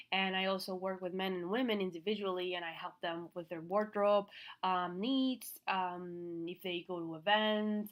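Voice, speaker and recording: With a Venezuelan accent, a woman talks at a moderate pace in a medium pitch, her intonation fairly even. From Venezuela, Caracas. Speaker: fashion stylist and business coach. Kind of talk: online class. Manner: casual, many fillers.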